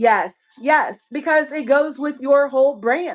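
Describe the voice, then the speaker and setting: In a strong Southern US accent, a woman talks at a fairly slow pace with a high pitch. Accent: heavy Southern US. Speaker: online seller and live-stream host. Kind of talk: casual live-stream chat.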